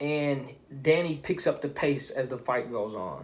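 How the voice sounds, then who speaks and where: A man speaks in a fairly high pitch with vocal fry and ordinary pitch variation. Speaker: boxing commentator youtuber. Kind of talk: casual commentary vlog.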